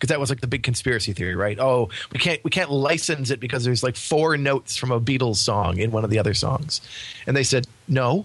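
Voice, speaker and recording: A man speaks at a very fast pace, somewhat breathy. His loudness stays very even, with ordinary pitch variation. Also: medium pitch for a man. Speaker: podcast host. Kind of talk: casual chat.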